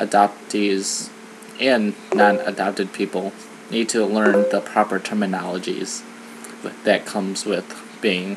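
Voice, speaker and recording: Through noticeable background noise, a man with an American accent and a fairly low pitch speaks at a fairly slow pace in monotone, flat intonation, leaving long, frequent pauses. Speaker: vlogger. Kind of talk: personal vlog monologue. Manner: hesitant, many fillers.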